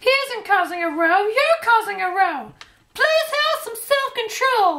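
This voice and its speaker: A woman puts on a squeaky character voice at an extremely high pitch. She speaks fairly slowly, with very wide pitch swings. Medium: short film.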